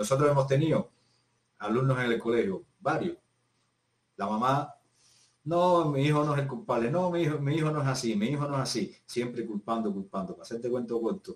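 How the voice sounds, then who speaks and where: A man speaks at medium pitch and a fairly quick pace, somewhat breathy. His intonation is lively and his loudness swings widely. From Cuba, Havana province. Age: 50s. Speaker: physical education teacher. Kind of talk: casual interview conversation.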